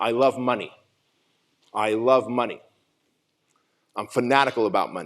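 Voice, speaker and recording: A man speaks at a moderate pace. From Southern California (Santa Ana). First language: not English. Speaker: motivational speaker. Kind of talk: keynote speech. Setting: stage with audience.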